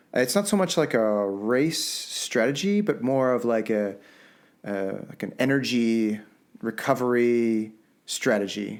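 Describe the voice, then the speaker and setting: Speaking fairly slowly with a Canadian accent, a man with a plain, everyday voice keeps a medium pitch and ordinary pitch variation. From Canada. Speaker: podcast co-host. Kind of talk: casual chat.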